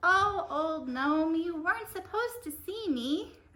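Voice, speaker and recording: Putting on a squeaky character voice at an extremely high pitch, a woman speaks raised and projected with lively intonation at a fairly slow pace. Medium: puppet show. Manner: gentle, soft-spoken.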